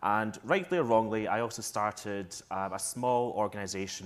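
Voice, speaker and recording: A man with a Scottish accent and fairly even intonation. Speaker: tourism marketing executive. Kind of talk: panel discussion. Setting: stage with audience.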